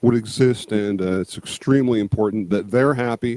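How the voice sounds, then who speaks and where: With a dark, mellow tone and ordinary pitch variation, a man's voice comes through dry and close with no echo. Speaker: YouTube creator on movies, music and monsters. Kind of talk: casual interview.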